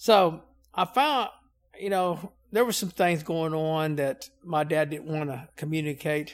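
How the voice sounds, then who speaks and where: A man speaks at a fairly slow pace with a Southern US accent. His pitch is fairly high, with ordinary variation. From Louisiana. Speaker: Navy veteran and utility worker. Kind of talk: casual interview.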